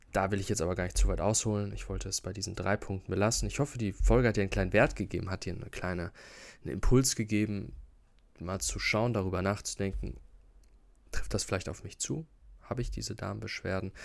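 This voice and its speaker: On a very clean recording with a silent background, a man speaks at a very fast pace with a fairly low pitch and vocal fry. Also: ordinary pitch variation. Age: 20s. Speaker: health podcaster. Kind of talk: solo educational talk. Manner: casual, with fillers and repetitions.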